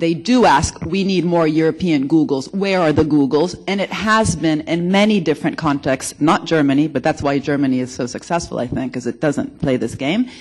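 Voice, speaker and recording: Someone talks at a moderate pace with hardly any pauses. The accent is American. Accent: American-sounding. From Italy. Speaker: economics researcher, conference speaker. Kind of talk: conference panel discussion.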